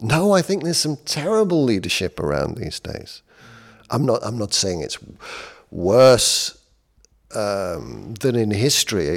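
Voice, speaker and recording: At a fairly slow pace, a man with a medium-pitched voice leaves long, frequent pauses, his pitch swinging very widely. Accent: British. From Britain. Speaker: leadership coach. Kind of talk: casual chat.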